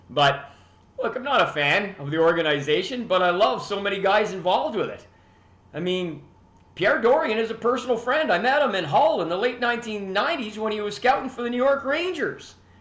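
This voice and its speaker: With a Canadian accent, a man speaks at a fairly quick pace in a high voice with very wide pitch swings, with audible room echo and noticeable background noise. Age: 60s. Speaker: hockey podcast host. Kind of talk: casual monologue.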